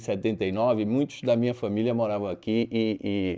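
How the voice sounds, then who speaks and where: A man's dark, mellow voice at medium pitch. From Brazil, Recife (Pernambuco, Northeast). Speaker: restaurant chain founder and CEO. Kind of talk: interview. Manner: halting, many fillers and repetitions.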